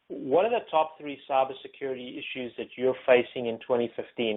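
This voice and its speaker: The man speaks at a moderate pace. His pitch sits in the medium range. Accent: South African. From South Africa. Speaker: information security executive and panel moderator. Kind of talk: webinar panel moderation. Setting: webinar. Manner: hesitant with many fillers.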